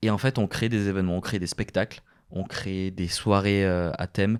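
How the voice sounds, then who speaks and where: A man talks with a fairly low pitch and ordinary pitch variation. The background is silent, and the recording is very clean. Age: 20s. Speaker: podcast host and radio presenter. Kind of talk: casual solo podcast monologue. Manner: hesitant, many filler words.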